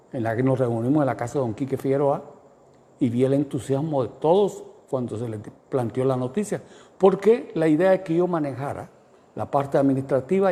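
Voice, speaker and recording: Lively in intonation, a man speaks at a fairly quick pace. His voice is fairly high in pitch with a dark, mellow tone. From El Salvador, San Juan Opico. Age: 70s. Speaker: radio founder and administrator. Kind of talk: interview conversation.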